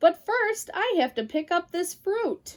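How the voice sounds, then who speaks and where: In a squeaky put-on character voice, a woman speaks fairly slowly at an extremely high pitch with very wide pitch swings. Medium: read story.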